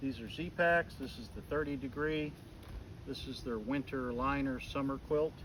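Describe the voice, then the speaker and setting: A man speaks in a normal speaking voice, fairly high-pitched, with fairly even intonation at a moderate pace. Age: 60s. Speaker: outdoor gear reviewer. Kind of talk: tutorial. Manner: casual.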